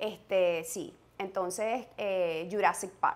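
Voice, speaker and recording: A calm-toned woman with a Venezuelan accent and ordinary pitch variation. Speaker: mother sharing parenting experience; podcast host. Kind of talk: casual chat. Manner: hesitant, many fillers. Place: home room. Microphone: lapel.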